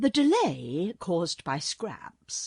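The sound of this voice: This is an unforced reading voice. It carries through the whole clip.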